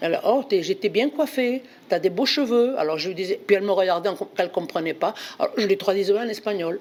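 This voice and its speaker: In a Bordeaux accent, a woman speaks in an animated tone with lively intonation. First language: Spanish (speaking French). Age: 80s+. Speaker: volunteer translator. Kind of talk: personal testimony. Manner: halting.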